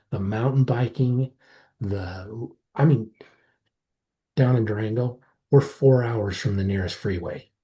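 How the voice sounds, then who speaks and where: A man with an American accent and a dark, mellow, somewhat breathy tone speaks at a fairly slow pace with ordinary pitch variation and long, frequent pauses over a quiet background. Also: medium pitch for a man. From southwestern Colorado, rural. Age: 50s. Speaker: startup founder. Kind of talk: podcast interview. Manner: animated.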